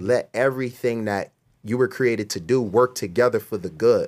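Talking at a fairly quick pace, a man with a medium pitch is heard on a very clean recording against a silent background. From US Northeast (Camden, New Jersey). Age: 30s. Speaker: video producer and former musician. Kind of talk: testimony interview.

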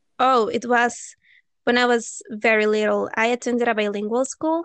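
At a fairly slow pace, a woman with a Venezuelan accent speaks in a fairly high pitch with fairly even intonation. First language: Spanish. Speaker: language-learning YouTuber and teacher. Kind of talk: casual interview chat.

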